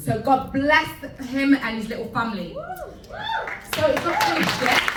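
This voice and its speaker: A woman with very wide pitch swings at a fairly slow pace, with crowd noise in the background. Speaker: event host. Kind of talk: live event host introductions.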